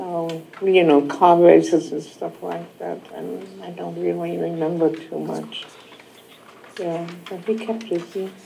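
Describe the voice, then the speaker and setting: A woman with a German accent, big swings in loudness, and light background noise. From Germany. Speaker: Holocaust refugee survivor. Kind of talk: testimony. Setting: school classroom with student audience. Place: hall.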